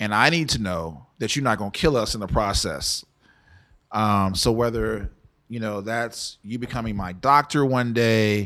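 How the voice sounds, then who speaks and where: In an American accent, a man with an ordinary speaking voice talks at a fairly low pitch and a moderate pace, with ordinary pitch variation, in a very clean recording with a silent background. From Texas, San Antonio and Dallas. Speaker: tech founder and nonprofit head. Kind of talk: interview conversation. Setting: studio.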